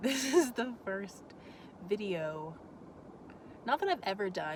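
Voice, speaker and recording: Intonation is lively throughout. Noticeable background noise can be heard. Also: woman. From Florida, US South. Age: 20s. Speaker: vlogger. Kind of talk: casual vlog talk. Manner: halting.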